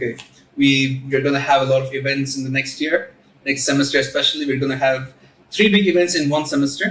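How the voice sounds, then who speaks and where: A man with a normal speaking voice talks at a fairly quick pace, his fairly high pitch held in fairly even intonation. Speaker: student club president. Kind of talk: casual chat. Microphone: recorded without a mic.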